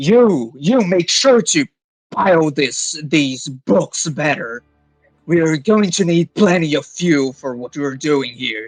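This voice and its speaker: A man in a loud, put-on character voice, fairly high in pitch with lively intonation and a fairly slow pace, dry and close with no echo, with music in the background. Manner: barking, commanding.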